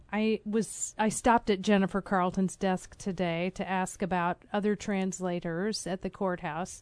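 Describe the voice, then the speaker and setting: Against a quiet background, a woman with a plain, everyday voice speaks at a fairly slow pace, medium in pitch, with fairly even intonation. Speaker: podcast host. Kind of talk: interview.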